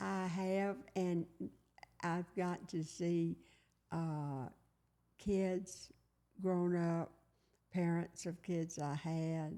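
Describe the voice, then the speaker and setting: A woman with a Tennessee accent speaks very slowly at a fairly low pitch, her tone dark and mellow and her intonation fairly even. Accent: Southern US (Tennessee). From US South, Collierville, Tennessee. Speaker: retired teacher. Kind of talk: oral history interview.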